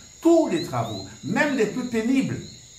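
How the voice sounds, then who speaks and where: A man speaks at a very slow pace with noticeable background noise behind him. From Guadeloupe. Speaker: storyteller, head of a cultural association. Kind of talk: folk tale retelling and explanation.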